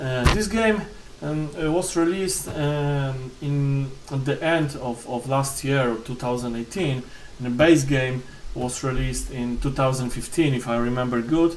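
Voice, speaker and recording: A man with a Polish accent at a fairly slow pace, amid noticeable background noise and audible room echo. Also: medium pitch for a man, ordinary pitch variation. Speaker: board game reviewer. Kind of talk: unboxing review. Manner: halting, many fillers and repetitions.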